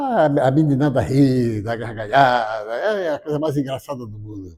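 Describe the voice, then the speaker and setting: Lively intonation marks a man's medium-pitched voice at a moderate pace. His tone is dark and mellow. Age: 70s. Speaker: spiritist lecturer. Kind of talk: spiritual lecture. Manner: warm, conversational.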